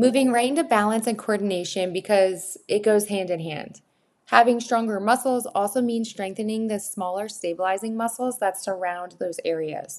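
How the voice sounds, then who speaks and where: A woman speaks at a moderate pace, her medium pitch showing ordinary variation. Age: 30s. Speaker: podcast host and personal trainer. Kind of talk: solo podcast monologue. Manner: animated.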